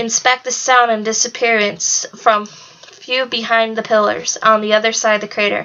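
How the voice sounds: Natural-sounding read-aloud voice, intonation fairly level throughout.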